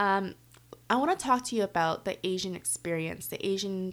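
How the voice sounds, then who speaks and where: In a Canadian accent, a woman talks fairly quickly at a medium pitch. She has an ordinary speaking voice with ordinary pitch variation. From Canada. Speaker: expat living in Korea. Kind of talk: casual chat. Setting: at home.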